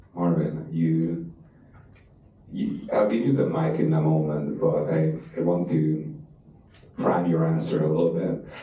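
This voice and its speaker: A man talks at a fairly slow pace in a very deep, low voice, leaving long, frequent pauses. His loudness stays very even, with audible room echo and noticeable background noise. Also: ordinary pitch variation. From Eastern Europe. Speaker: panel moderator. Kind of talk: panel discussion. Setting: stage with audience.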